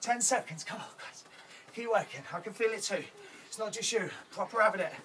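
Over music in the background, a man speaks in a raised, projected voice. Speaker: fitness instructor. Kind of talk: workout coaching. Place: garden.

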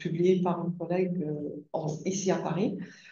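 A woman is speaking. The room echo is audible. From Britain. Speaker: linguistics academic; speaker. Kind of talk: seminar talk. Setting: seminar room with audience. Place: classroom.

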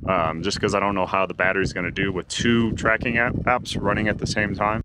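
In a dry sound with no echo, a man with a fairly low pitch keeps a fairly even intonation while noticeable background noise comes through. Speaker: hiker vlogger. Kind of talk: casual vlog chat. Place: open country. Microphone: phone near.

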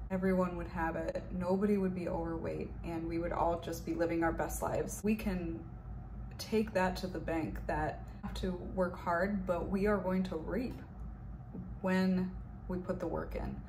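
A woman's warm tone at a moderate pace, with noticeable background noise. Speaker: health and wellness coach and video creator. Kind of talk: fervent prayer, spoken intercession over viewers. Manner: earnest, commanding, declaring prayers with conviction; warm, pastoral. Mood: calm, earnest. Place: home room. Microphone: webcam.

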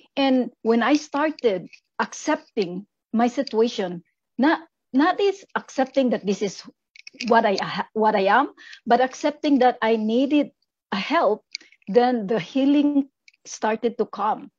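A high-pitched woman's voice with lively intonation, a fairly slow pace and long, frequent pauses against a quiet background. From Philippines. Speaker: mother and author; conference speaker. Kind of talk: testimony. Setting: video call. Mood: emotional, earnest. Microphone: video call.

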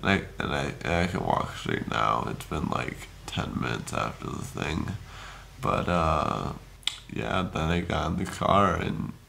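A man's very deep, low voice with very wide pitch swings, over light background noise. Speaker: vlogger after wisdom tooth surgery. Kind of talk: casual vlog chat. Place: home room. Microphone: phone near.

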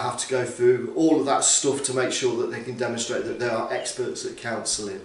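Over audible room echo, a man speaks with ordinary pitch variation. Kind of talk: interview answer. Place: office. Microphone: camera far.

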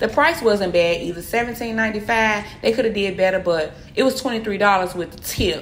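Light background noise sits under a woman speaking with ordinary pitch variation. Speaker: food vlogger. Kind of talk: casual vlog chat. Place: cafe. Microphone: phone near.

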